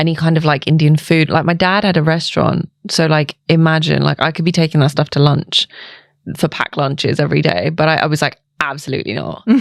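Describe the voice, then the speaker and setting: A woman with a London accent speaks at a fairly quick pace. Her voice is very deep and low, with monotone, flat intonation. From England, East London. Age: 30s. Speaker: nurse and skincare clinic founder. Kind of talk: casual chat.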